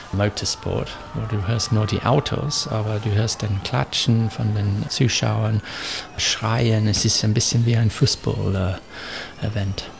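A man with an English accent speaks very slowly at a fairly low pitch, with noticeable background noise. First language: English (speaking German). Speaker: motorsport engineer. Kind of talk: interview. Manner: halting, with filler sounds.

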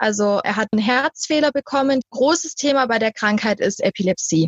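A somewhat breathy woman's voice, fairly high in pitch, with ordinary pitch variation and a fairly quick pace, in a dry, close sound with no echo. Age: 20s. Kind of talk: interview.

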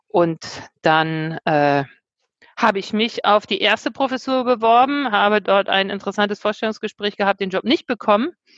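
Delivered at a moderate pace, an unremarkable speaking voice comes through with a dry, close sound and no echo. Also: woman. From Germany, Bremen. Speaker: university president. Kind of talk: casual interview.

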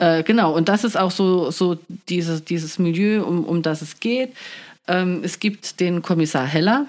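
Very clean, with a silent background, this recording features a woman. She speaks at a fairly slow pace with ordinary pitch variation. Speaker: podcast host. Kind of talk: casual chat. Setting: studio.

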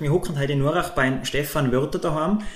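In a Tyrolean accent, a man speaks at a fairly high pitch and a fairly quick pace, with ordinary pitch variation. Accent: Tyrolean Austrian German. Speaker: podcast co-host. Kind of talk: casual chat.

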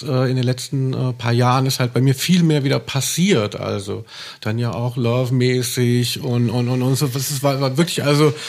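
This man talks at a moderate pace with fairly even intonation and medium pitch, in an ordinary speaking voice. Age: 40s. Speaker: music journalist and author. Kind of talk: casual chat.

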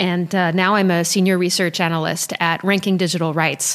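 A woman's fairly low voice in an American accent, a plain, everyday voice at a moderate pace with fairly even intonation. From Paris, France, then US from high school. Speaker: human rights researcher. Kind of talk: interview. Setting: in person, Berlin.

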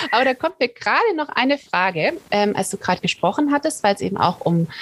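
The voice moves at a fairly quick pace with very wide pitch swings, in a dry, close sound with no echo. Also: woman. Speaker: podcast host. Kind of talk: interview. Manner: laughs often.

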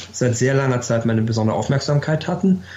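The speaker has an ordinary speaking voice, and the pitch moves in an ordinary way. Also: man. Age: 60s. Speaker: former ambassador. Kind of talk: interview.

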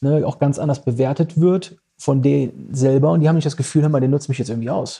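A man's fairly high, somewhat breathy voice in a dark, mellow tone, with ordinary pitch variation and a very fast pace. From Düsseldorf, Germany. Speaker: club manager and event promoter. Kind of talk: casual interview chat. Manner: hesitant with many fillers.

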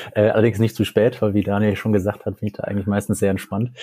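With a dark, mellow tone, the man speaks at a medium pitch. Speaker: medical student. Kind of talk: interview. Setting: remote call from home.

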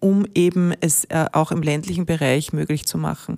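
Her voice is fairly low with a dark, mellow tone, as a woman talks at a moderate pace in a dry, close sound with no echo. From Austria, Ennstal (Styria). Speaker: rail company executive. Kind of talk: interview.

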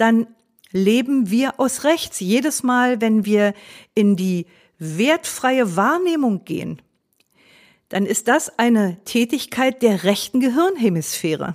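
At a very slow pace, a woman talks with a fairly high pitch that makes very wide swings. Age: 60s. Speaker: mindfulness teacher and podcast host. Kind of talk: solo podcast talk.

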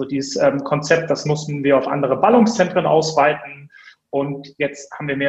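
This man talks at a fairly quick pace. His pitch moves in an ordinary way. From Hamburg, northern Germany. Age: 30s. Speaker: media entrepreneur. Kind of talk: interview. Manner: many filler sounds (äh, ähm).

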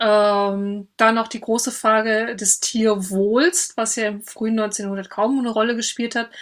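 A woman speaks in a fairly high voice with a flat, monotone delivery, recorded very cleanly against a silent background. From western Germany (North Rhine-Westphalia). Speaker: historian. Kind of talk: interview. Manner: frequent filler hesitations (ähm).

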